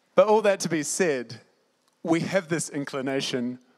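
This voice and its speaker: A man with a plain, everyday voice, ordinary pitch variation and a moderate pace. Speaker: Bible school student. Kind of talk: sermon. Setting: stage with audience.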